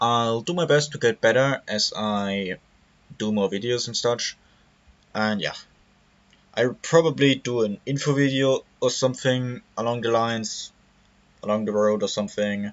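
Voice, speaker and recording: Speaking at a moderate pace with a German accent, a man uses a medium pitch and ordinary pitch variation, leaving long, frequent pauses. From Germany. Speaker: gaming YouTuber. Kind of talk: tutorial. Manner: halting.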